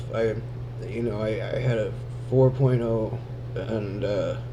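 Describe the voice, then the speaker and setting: In a room with audible echo, a man of medium pitch speaks in a flat monotone at a fairly slow pace. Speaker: vlogger recovering from head injury. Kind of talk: casual vlog. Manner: slurred speech; halting, with speech delay.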